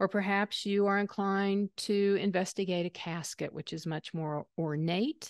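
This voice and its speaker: A woman with a slight Southern US accent, medium pitch and fairly slow pace against a quiet background. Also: dry, close sound with no echo. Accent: slight Southern twang. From US South. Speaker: aging expert presenter. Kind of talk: webinar lecture. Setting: online webinar.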